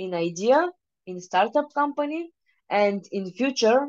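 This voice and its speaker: A woman with a Bulgarian accent speaks fairly slowly at a fairly high pitch, with very wide pitch swings and big swings in loudness. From Bulgaria, Varna. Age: 20s. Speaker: private investor. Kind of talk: presentation. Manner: halting.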